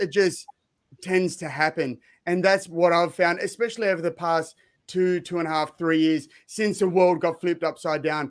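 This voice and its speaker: In an Australian accent, a man speaks at a high pitch and a moderate pace with fairly even intonation. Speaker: speaker and former fighter. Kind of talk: panel discussion.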